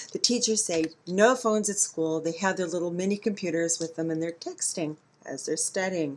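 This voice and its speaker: A woman has a normal speaking voice, fairly low in pitch. She talks at a moderate pace with ordinary pitch variation. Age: 50s. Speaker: vlogger. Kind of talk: video monologue. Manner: conversational.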